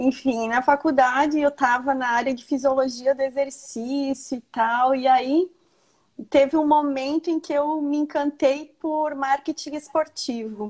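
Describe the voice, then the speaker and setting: Speaking with a Rio Grande do Sul accent, a woman uses a high pitch, fairly even intonation, and a fairly slow pace. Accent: southern Brazilian (gaúcho), noticeable. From Rio Grande do Sul, Brazil (Marau). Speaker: nonprofit manager. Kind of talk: casual interview. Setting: live stream video call.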